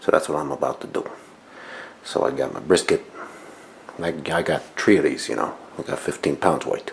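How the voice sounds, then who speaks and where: A man speaks quietly at a fairly quick pace. Noticeable background noise runs beneath him. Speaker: home cooking channel host. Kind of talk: cooking tutorial. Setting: home kitchen at night. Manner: casual, folksy; quiet, hushed.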